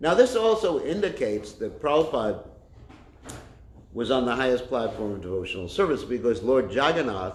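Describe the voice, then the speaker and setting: A man speaks loudly at a medium pitch with very wide pitch swings. Audible room echo surrounds the voice. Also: moderate pace. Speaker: Hare Krishna preacher. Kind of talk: religious lecture. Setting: temple class, streamed online. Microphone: no microphone.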